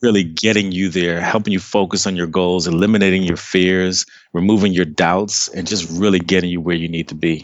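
Someone with an American accent speaks at a moderate pace with hardly any pauses. The intonation is monotone and flat. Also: man. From Maryland, near Washington DC (Trinidadian family). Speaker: life coach. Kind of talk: interview. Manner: casual.

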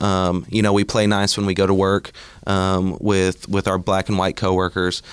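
Speaking at a fairly slow pace, a man with an Oklahoma accent has a fairly low pitch. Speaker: community organizer. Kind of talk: casual chat. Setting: studio.

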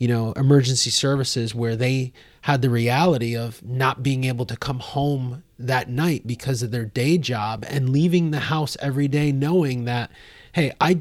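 Using a normal speaking voice, a man with a medium pitch talks at a moderate pace and keeps his intonation fairly even. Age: 40s. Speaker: podcast host and nonprofit founder. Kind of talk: interview. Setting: studio.

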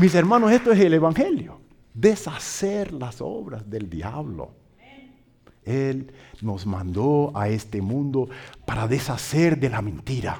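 A man with a slight Brazilian accent speaks at a very slow pace and medium pitch. His pitch swings very widely, his loudness shifts greatly, and audible room echo surrounds him. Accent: slightly Brazilian-tinged Spanish. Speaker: pastor and missionary. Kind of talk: sermon. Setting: church.

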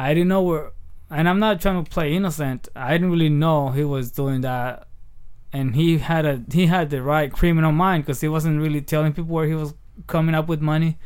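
A man with a Spanish accent, fairly high pitch, fairly even intonation and a fairly quick pace. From Michoacán, Mexico. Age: 30s. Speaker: comedian. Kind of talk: casual chat.

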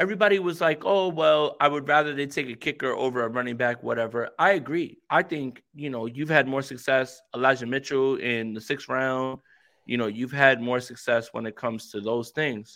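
A man's bright, sharp voice of medium pitch and ordinary pitch variation, at a moderate pace with hardly any pauses, on a very clean recording with a silent background. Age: 30s. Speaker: football podcaster. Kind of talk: casual chat. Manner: animated.

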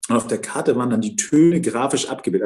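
A man's fairly high voice carries a dark, mellow tone and vocal fry. His pitch swings very widely. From Hamburg-Wilhelmsburg, northern Germany. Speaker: member of parliament. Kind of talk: interview. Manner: hesitant, many fillers and repetitions.

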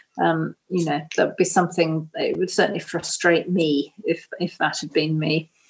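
A woman with a southern English accent talks at a moderate pace with hardly any pauses. Her pitch is fairly low and her intonation monotone and flat. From Cornwall, England. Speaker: novelist and publisher. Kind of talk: interview.

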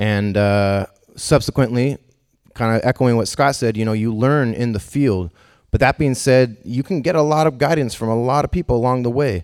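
A normal speaking voice with ordinary pitch variation comes through in a very clean recording with a silent background and a dry, close sound with no echo. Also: man, medium pitch for a man, moderate pace. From Northern California (Davis). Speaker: jazz musician and band leader. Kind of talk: panel discussion.

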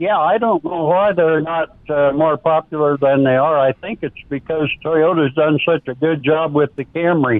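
Using an unremarkable speaking voice, a man with an American accent talks at a fairly high pitch and moderate pace, with ordinary pitch variation and hardly any pauses. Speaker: caller. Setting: phone call.

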